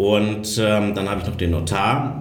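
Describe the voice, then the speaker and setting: In a room with audible echo, a man speaks at a very slow pace with a fairly low pitch. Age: 40s. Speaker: real estate investment advisor. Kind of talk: podcast interview.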